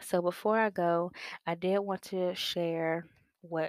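A woman talks at a fairly slow pace. Her pitch is fairly low and her intonation fairly even. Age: 20s. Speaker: podcast host. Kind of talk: casual monologue. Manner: casual, hesitant with many fillers.

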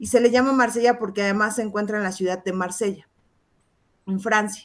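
Speaking at a medium pitch, a woman lets her pitch vary in an ordinary way. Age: 30s. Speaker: tarot reader and teacher. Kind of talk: interview explaining tarot.

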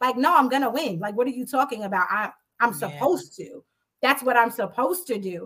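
A woman talks loudly and at a very fast pace in a high pitch. Her tone is animated, with very wide pitch swings. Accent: American. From Jamaica, Queens, New York City. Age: 40s. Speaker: podcast host. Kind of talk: casual chat. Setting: live stream.

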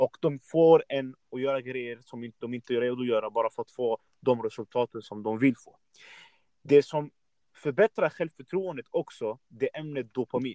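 In a plain, everyday voice, a man speaks at a moderate pace and medium pitch with ordinary pitch variation and big swings in loudness. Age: 20s. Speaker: fitness podcast host. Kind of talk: casual interview.

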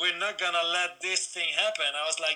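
This man has a high-pitched voice with fairly even intonation. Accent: Dutch. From Netherlands. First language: Dutch. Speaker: BMX coach. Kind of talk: interview. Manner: halting.

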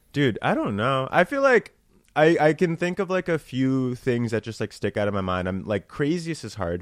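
In an American accent, a man speaks at a moderate pace and medium pitch with very wide pitch swings. The recording is very clean, with a silent background and a dry, close sound with no echo. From New Jersey. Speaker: comedian. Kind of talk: casual chat.

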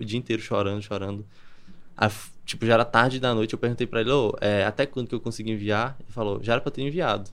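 This man talks at a very fast pace. His pitch is medium for a man and his intonation fairly even. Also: quiet background. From Brazil, Campina Grande, Paraíba. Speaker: copywriter. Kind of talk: podcast interview.

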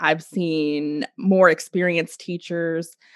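A woman's fairly low voice, dry and close with no echo, on a very clean recording with a silent background. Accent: slight Oklahoma. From Oklahoma, US. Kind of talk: casual interview chat.

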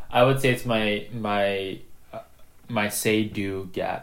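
A man with a Mid-Atlantic US accent and a fairly low pitch. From Maryland, suburb of Washington, D.C. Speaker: engineer. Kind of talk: casual chat.

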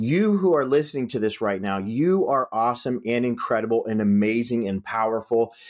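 Hardly pausing, a man with an American accent talks at a fairly quick pace in a normal speaking voice with ordinary pitch variation. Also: medium pitch for a man. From Northern California. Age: 40s. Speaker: podcast host and real estate investor. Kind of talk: motivational solo talk. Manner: casual, many filler words.

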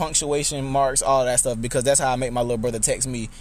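In an American accent, a man talks at a fairly high pitch. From US South, Albany, Georgia. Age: 20s. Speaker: youth mentor and nonprofit founder. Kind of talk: interview conversation.

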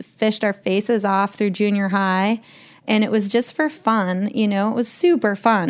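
Speaking with an American accent, a woman uses a normal speaking voice at medium pitch, a moderate pace and ordinary pitch variation. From Montana (Glacier National Park). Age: 40s. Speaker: fishing guide and shop owner. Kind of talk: casual chat. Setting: in person at guest's home.

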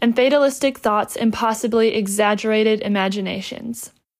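Her pitch fairly high, a woman with an American accent speaks in a normal speaking voice with fairly even intonation. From United States. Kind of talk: scripted reading of prepared remarks.

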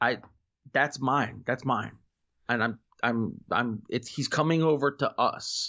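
A man with an American accent and medium pitch speaks at a very slow pace, with long, frequent pauses, fairly even intonation and very even loudness. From Florida, US. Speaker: podcaster. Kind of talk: casual chat.

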